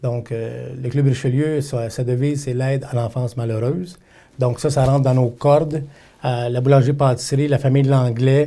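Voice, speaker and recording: A man talks in a dark, mellow tone that is somewhat breathy, his intonation monotone and flat. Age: 50s. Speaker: political candidate. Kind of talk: interview.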